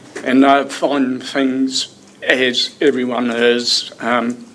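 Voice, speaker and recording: With a New Zealand accent, a man speaks at a medium pitch. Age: 70s. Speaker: member of the public making a submission. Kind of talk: public submission at council hearing.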